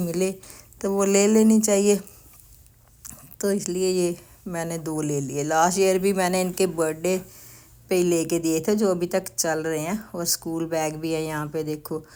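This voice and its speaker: This woman has an unremarkable speaking voice, pitched fairly low, with fairly even intonation. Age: 60s. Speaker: grandmother vlogger. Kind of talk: shopping vlog. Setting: store.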